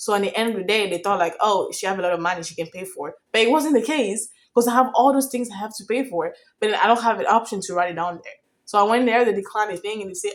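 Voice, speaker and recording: A woman talks at a very fast pace in an animated tone, her pitch fairly high with ordinary variation. Her loudness swings widely. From outside the US, foreign country. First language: not English. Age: young. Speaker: vlogger. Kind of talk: casual storytime vlog.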